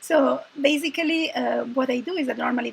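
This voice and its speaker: A woman with an Italian accent at a moderate pace, over noticeable background noise. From Italy. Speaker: confidence coach. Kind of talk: casual chat. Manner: hesitant, many fillers.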